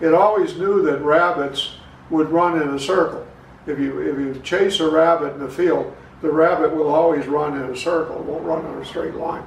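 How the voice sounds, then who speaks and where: With audible room echo and noticeable background noise, a man with an American accent speaks at a fairly high pitch with fairly even intonation. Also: moderate pace. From southern Illinois, US Midwest. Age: 80s+. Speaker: local historian and author. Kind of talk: interview, personal recollections. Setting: garage, filmed at home.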